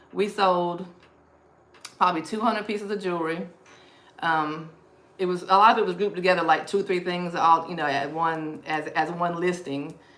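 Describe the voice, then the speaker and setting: Amid noticeable background noise and audible room echo, a woman with a Southern US accent speaks at medium pitch with ordinary pitch variation. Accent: Southern US (Georgia). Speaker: thrift reseller livestreamer. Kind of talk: live stream haul chat. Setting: live stream. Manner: fast.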